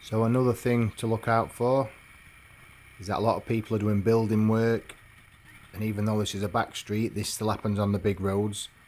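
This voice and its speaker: Fairly quick and low-pitched, a man talks in a monotone, flat intonation. Long pauses come often. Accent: English. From England. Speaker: motorbike travel vlogger. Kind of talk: travel vlog narration.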